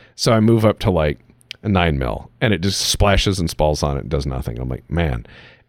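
At a fairly quick pace, a man talks in an animated tone with very wide pitch swings and vocal fry. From US Midwest, Cleveland. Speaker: podcast host. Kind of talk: casual chat.

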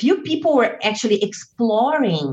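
With a Portuguese accent, a woman talks at a very slow pace using lively intonation. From southern Brazil. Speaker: witch and author. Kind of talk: interview.

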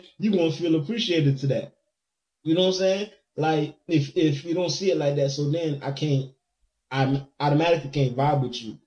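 A man with a fairly high pitch, a dark, mellow tone and a somewhat breathy quality speaks at a fairly quick pace with ordinary pitch variation. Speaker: DJ. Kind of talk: casual chat.

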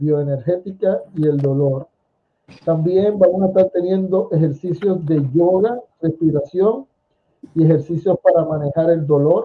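A fairly slow pace and high pitch from a man, plus ordinary pitch variation. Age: 50s. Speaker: radio host and essential oils promoter. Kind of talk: casual interview.

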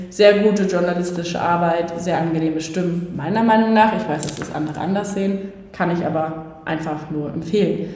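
Over noticeable background noise and audible room echo, a woman talks at a fairly quick pace with a fairly low pitch. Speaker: podcast co-host. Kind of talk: casual chat. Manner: animated. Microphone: room echo, not the proper microphone.

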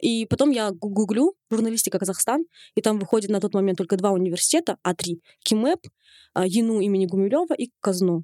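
At a fairly quick pace, a plain, everyday voice moves with lively intonation in a dry, close sound with no echo. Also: woman, medium pitch for a woman. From Kazakhstan. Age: 20s. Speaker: fashion blogger. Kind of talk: interview. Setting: studio.

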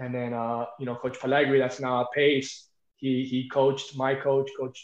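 At a moderate pace, a man with an American accent talks in a normal speaking voice, medium in pitch with fairly even intonation. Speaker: high school wrestling coach. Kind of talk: interview.

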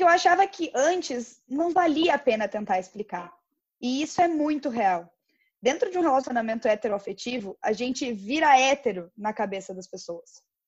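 A woman with a high pitch speaks at a moderate pace, her pitch swinging very widely and her loudness rising and falling sharply. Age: 20s. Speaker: podcast co-host. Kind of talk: casual chat.

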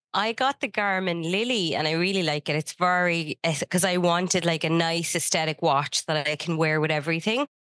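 In an Irish accent, a woman talks at a fairly quick pace with hardly any pauses and very even loudness. Her pitch is fairly low with ordinary variation, and the sound is dry and close with no echo over a quiet background. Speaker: podcast co-host, business consultant. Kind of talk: casual chat.

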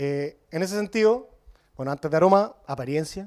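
A man's dark, mellow tone at a fairly quick pace. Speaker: brewery co-founder. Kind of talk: beer tasting talk. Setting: brewery with live audience.

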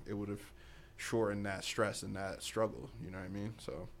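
Fairly low male speech in a monotone, flat intonation. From Boston, US, born in Africa. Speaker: podcast co-host. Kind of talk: casual chat.

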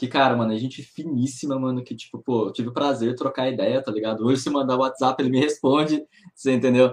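An ordinary speaking voice with fairly even intonation carries through the clip. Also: man. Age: 20s. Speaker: professional poker player. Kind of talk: casual chat.

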